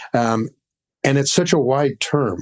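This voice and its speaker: An unremarkable speaking voice from a man, medium in pitch, at a moderate pace with ordinary pitch variation. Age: 60s. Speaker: sound designer and audio educator. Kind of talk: podcast interview. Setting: video call.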